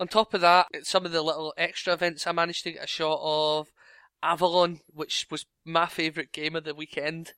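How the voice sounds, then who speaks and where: A man with a Scottish accent speaks at a fairly quick pace in a high voice, bright and sharp in tone, with monotone, flat intonation. The recording is very clean with a silent background and a dry, close sound with no echo. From Scotland. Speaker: podcast co-host. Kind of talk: casual chat.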